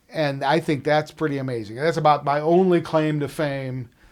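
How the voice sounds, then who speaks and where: A man with an American accent in an ordinary speaking voice, ordinary pitch variation and a moderate pace. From Chicago suburbs, Illinois. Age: 60s. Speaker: musician and recording engineer. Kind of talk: oral history interview. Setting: recording studio.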